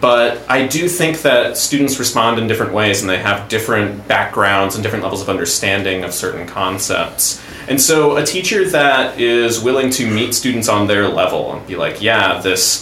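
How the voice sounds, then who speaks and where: With hardly any pauses, a man talks at a moderate pace in a medium pitch, using lively intonation over noticeable background noise. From US South, Stafford County, Virginia. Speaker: improv teacher and comedian. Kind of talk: casual chat.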